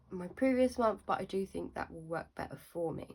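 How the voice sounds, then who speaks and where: A woman with a southern English accent, medium pitch and lively intonation. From southern England. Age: 20s. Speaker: budgeting vlogger. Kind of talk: casual tutorial.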